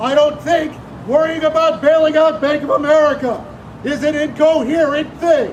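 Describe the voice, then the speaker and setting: Over noticeable background noise and audible room echo, a man speaks at a fairly slow pace with extremely high pitch. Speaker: protester. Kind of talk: protest speech. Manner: loud. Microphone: no microphone.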